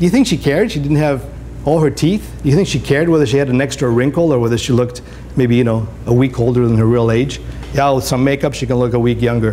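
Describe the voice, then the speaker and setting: Amid noticeable background noise and audible room echo, a man talks at a very fast pace with very even loudness. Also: medium pitch for a man, ordinary pitch variation. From Greece. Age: 60s. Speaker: photographer. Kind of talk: career day talk to school class. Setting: classroom with students. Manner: animated.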